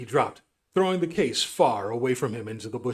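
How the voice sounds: Lively intonation in a natural reading voice, quiet background behind it.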